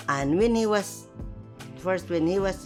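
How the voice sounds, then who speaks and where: A woman's voice makes very wide pitch swings. Music plays in the background. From Philippines. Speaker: nurse, his mother. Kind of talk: documentary interview answer.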